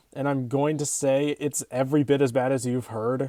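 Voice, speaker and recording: A man speaks with a dark, mellow tone and fairly even intonation on a very clean recording with a silent background. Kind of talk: casual movie review to camera. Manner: fast, with some stutters.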